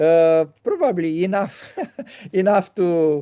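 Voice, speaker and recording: This man has a high pitch and fairly even intonation. The background is quiet. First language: Romanian. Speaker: interviewer. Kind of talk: casual chat. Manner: halting.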